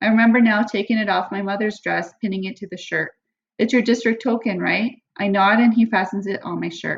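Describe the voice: Someone reads aloud plainly with fairly even intonation over a quiet background.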